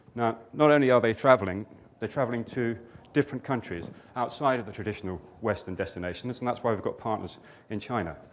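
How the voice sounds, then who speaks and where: Speaking at a very fast pace with a British accent, a man uses a medium pitch and ordinary pitch variation. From Britain. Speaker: company director. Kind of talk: conference presentation.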